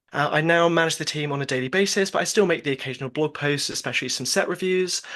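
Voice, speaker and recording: Delivered at a very fast pace with a British accent, the speech shows ordinary pitch variation. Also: man, fairly high pitch for a man. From UK. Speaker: podcast host, blog founder. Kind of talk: casual chat.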